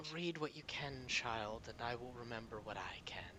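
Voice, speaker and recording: Against loud background noise, a man puts on a character voice at a medium pitch and a moderate pace. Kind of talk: archaic. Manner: ominous, wise.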